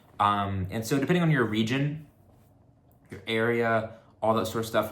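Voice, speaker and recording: In a room with audible echo, a man speaks with an American accent and lively intonation. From Texas. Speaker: vlogger. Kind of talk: casual chat. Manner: casual, with many fillers.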